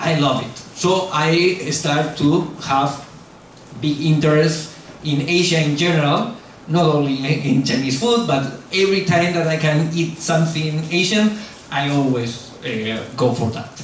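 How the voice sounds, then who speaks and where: A man with a strong Spanish accent, fairly high pitch, ordinary pitch variation and a fairly slow pace, amid noticeable background noise and audible room echo. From Spain. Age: 40s. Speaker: YouTuber. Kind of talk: lecture.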